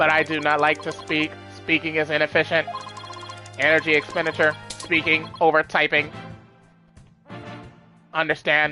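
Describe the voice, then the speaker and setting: A robotic, put-on character voice at a middle pitch moves at a moderate pace over faint music in the background. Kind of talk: flat, terse.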